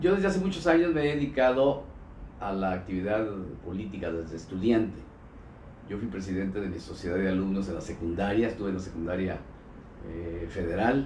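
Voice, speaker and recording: With room echo audible, the speaker's somewhat breathy voice has lively intonation and long, frequent pauses. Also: man, fairly low pitch for a man, fairly quick pace. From Mexico, Colima. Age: 60s. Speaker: former state governor and politician. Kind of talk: interview. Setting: live streamed interview, in person.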